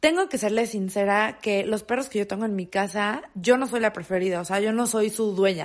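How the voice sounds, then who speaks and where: A woman with a Mexican accent and an animated tone, a fairly high pitch, ordinary pitch variation, a moderate pace and hardly any pauses. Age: 20s. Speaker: podcast host. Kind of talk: casual monologue.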